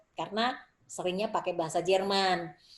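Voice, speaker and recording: A woman speaks at a fairly quick pace with a medium pitch and an ordinary speaking voice. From Indonesia. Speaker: Indonesian diaspora writer and dancer. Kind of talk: interview conversation.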